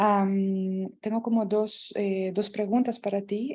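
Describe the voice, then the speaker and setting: A woman's soft-spoken, somewhat breathy voice at medium pitch, dark and mellow in tone, with monotone, flat intonation. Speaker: researcher asking question. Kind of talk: audience question. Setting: video call from shared office.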